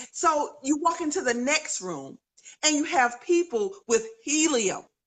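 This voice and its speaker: Speaking in a North Carolina accent, a woman uses an animated tone at a high pitch. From North Carolina, US South. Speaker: author and education speaker. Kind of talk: interview on live video stream. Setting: live video stream.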